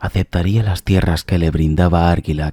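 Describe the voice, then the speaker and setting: A man whispering in a calm tone, with a dry, close sound with no echo and a very clean recording with a silent background. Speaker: ASMR narrator. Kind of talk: reading aloud. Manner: slow, calm.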